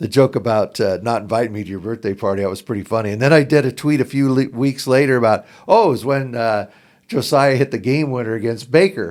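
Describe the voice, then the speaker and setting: A man with an American accent talks at a very fast pace, his pitch medium with ordinary variation. The recording is very clean, with a silent background. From southern Oregon, US. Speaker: basketball podcaster. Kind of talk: podcast interview.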